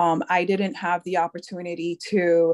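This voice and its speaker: In a dry, close sound with no echo, a woman speaks with a monotone, flat intonation at a fairly low pitch. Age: 30s. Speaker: army veteran. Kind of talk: panel discussion.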